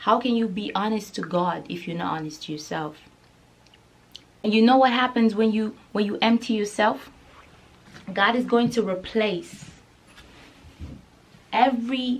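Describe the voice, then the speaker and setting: In a Nigerian accent, a woman speaks at a moderate pace and a fairly high pitch, with ordinary pitch variation and long, frequent pauses. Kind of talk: casual talk to camera.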